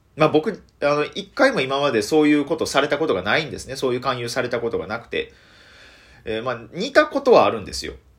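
A man talks in a Kansai accent at a very fast pace. The recording is very clean, with a silent background. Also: big swings in loudness. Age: 20s. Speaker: comedian. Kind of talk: solo radio talk.

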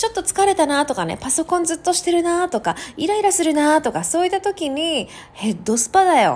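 A woman's extremely high voice, fairly quick and animated, with lively intonation, hardly any pauses, and a very clean recording over a silent background. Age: 30s. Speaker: solo podcast host. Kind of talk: casual solo talk.

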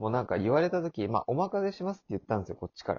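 Lively intonation marks a man's very fast delivery. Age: 20s. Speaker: podcast host. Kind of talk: casual chat.

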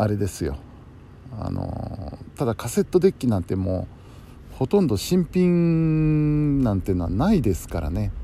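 Here a man speaks at a moderate pace. His medium pitch swings very widely. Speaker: podcaster and radio helper. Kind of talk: casual late-night monologue.

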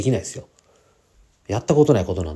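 Vocal fry and a dark, mellow tone, delivered at a very fast pace with very wide pitch swings. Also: man. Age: 40s. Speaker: podcaster and part-time trader. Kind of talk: solo podcast monologue. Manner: casual, many filler words.

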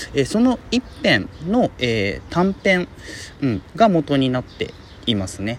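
A man talks fairly slowly in a fairly high pitch, his voice making very wide pitch swings. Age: 30s. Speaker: podcaster, film commentator. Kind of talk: solo casual talk. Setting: outdoors in a park.

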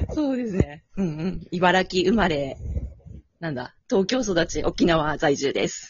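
A woman's fairly low, fairly slow voice with lively intonation. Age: 30s. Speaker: dance circle member. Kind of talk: casual chat.

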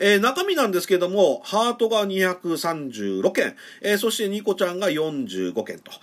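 At a fairly slow pace, a man speaks in a high pitch with ordinary pitch variation and big swings in loudness. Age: 50s. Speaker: podcaster. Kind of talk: solo talk. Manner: frequent filler words; polite formal.

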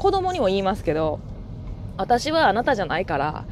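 A woman talks very fast over noticeable background noise. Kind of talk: casual monologue. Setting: in a car while driving. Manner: usually loud, keeping voice down today. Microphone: new earphone mic.

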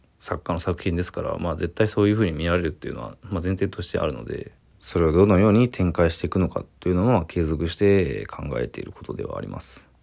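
At a very fast pace with hardly any pauses, a man speaks. His very deep, low voice carries vocal fry. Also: ordinary pitch variation, big swings in loudness. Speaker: visual artist. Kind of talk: solo voice memo monologue.

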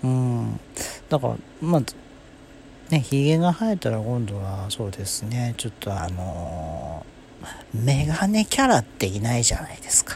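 Speaking at a fairly slow pace with long, frequent pauses, a man has a medium pitch, very wide pitch swings and a somewhat breathy voice. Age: 30s. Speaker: solo podcaster. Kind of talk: casual monologue. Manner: hesitant, many fillers.

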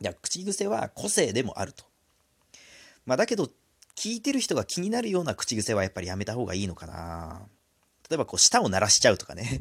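A man's medium-pitched voice with vocal fry and very wide pitch swings, broken by long, frequent pauses, on a very clean recording with a silent background. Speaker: solo podcaster. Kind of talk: casual solo talk. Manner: rambling, self-correcting.

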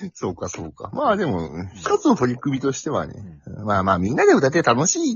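The man speaks at a fairly quick pace with big swings in loudness. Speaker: office worker, podcast guest. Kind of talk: casual chat.

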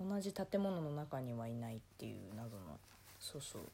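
A woman talks fairly slowly while her pitch swings very widely. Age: 20s. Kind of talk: casual solo monologue. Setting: at home, folding laundry. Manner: casual, rambling with frequent laughs.

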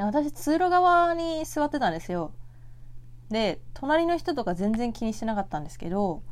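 A calm woman's voice, fairly high, with very wide pitch swings at a moderate pace. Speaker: podcast host; office worker. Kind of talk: solo casual talk. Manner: soft-spoken.

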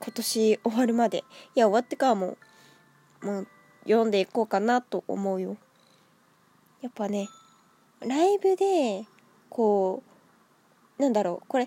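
Over music in the background, a woman with a fairly high pitch and ordinary pitch variation speaks with long, frequent pauses in a dry, close sound with no echo. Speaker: solo podcaster. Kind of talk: casual solo talk. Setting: at home with cat on lap. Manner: animated, high-energy; stumbles over words, frequent laughter.

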